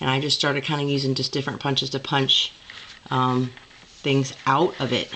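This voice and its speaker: Noticeable background noise sits behind this woman. She talks at a fairly quick pace in a very deep, low pitch. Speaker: crafter, former scrapbook store owner. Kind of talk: casual craft show-and-tell to camera.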